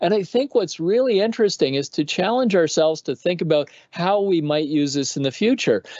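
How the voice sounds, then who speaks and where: With a Canadian accent, a man with a high pitch talks at a fairly quick pace with hardly any pauses and lively intonation, the sound dry with no echo and the background quiet. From Canada. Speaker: former astronaut and physician; guest. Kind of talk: panel discussion. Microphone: webcam.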